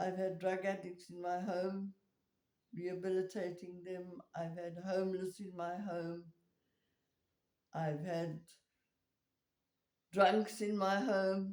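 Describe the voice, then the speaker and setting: Speaking at a medium pitch with monotone, flat intonation, a woman moves at a very slow pace with long, frequent pauses. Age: 80s+. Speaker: farmer and volunteer helping homeless people. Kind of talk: casual chat.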